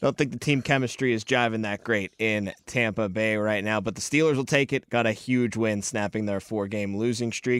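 With a normal speaking voice at medium pitch, a man talks at a moderate pace with hardly any pauses and fairly even intonation, in a dry, close sound with no echo. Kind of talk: casual sports Q&A conversation.

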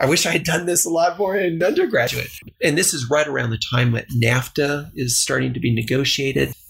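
An American accent at a moderate pace over noticeable background noise. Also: man. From Texas, El Paso. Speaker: government finance director. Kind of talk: interview. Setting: home basement studio.

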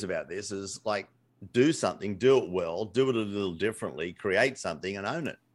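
This man speaks with an Australian accent at a fairly quick pace. His pitch varies in an ordinary way. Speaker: entrepreneur and business coach. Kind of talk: casual interview.

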